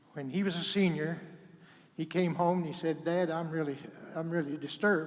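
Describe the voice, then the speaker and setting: At a moderate pace, a man with an American accent speaks in a high pitch with fairly even intonation, with audible room echo. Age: 80s+. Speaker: retired school superintendent, performer's father. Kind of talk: personal speech to audience. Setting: church with audience, microphone. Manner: halting.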